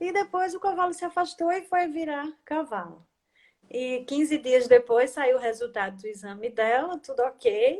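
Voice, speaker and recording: The speaker has a Brazilian accent. The pitch swings very widely. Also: woman, high pitch for a woman, fairly slow pace. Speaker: equine-assisted systemic therapist. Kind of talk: casual interview chat. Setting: online live stream.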